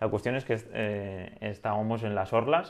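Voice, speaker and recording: Using a plain, everyday voice, a man speaks at a moderate pace in a fairly low pitch. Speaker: drone podcast co-host. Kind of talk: casual chat.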